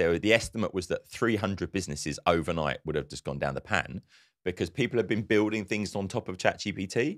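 A man speaks at a fairly quick pace with a low pitch and lively intonation. The recording is very clean, with a silent background.

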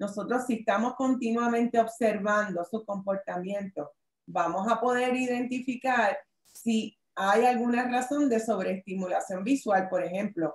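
A woman's somewhat breathy voice at a fairly slow pace, with ordinary pitch variation and audible room echo. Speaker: workshop presenter, lawyer; presenter, lawyer. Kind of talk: online workshop presentation. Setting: video call. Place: home room. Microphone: webcam.

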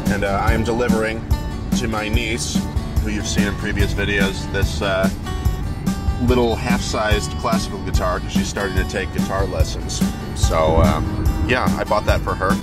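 A man speaks with long, frequent pauses over loud background music, the sound dry with no echo. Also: moderate pace. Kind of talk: casual vlog chat.

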